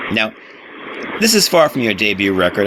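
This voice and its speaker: Noticeable background noise is present throughout. Over it, a man speaks at a fairly quick pace. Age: 40s. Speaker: radio host. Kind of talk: interview; radio show link.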